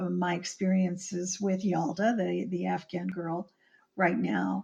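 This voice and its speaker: At a fairly slow pace, a woman speaks at medium pitch in a somewhat breathy voice. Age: 60s. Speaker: screenwriter and author. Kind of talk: interview. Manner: halting.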